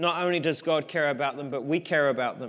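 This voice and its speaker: In an English accent, a man talks at a fairly quick pace. The background is quiet. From England. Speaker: pastor. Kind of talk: sermon. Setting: church. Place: church.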